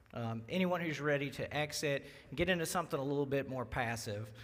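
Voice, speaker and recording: This man has a strong Southern accent and a fairly high pitch. He talks at a moderate pace with ordinary pitch variation. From Louisiana (Baton Rouge). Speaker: wealth manager. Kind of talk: presentation. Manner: halting, many fillers.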